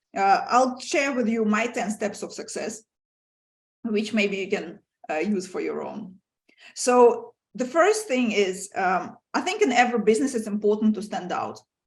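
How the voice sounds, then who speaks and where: A woman's somewhat breathy, fairly high voice, with lively intonation and big swings in loudness. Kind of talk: lecture. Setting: video call. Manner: fast; animated.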